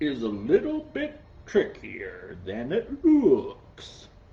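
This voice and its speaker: At a very slow pace, a high-pitched put-on character voice speaks with a confident tone. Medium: read story. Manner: showy and confident.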